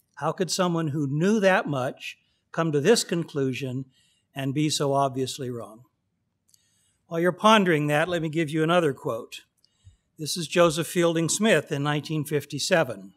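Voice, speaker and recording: A man with a General American accent at a fairly high pitch, a moderate pace, ordinary pitch variation and long, frequent pauses. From California, Pasadena. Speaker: astrophysicist. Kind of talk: lecture.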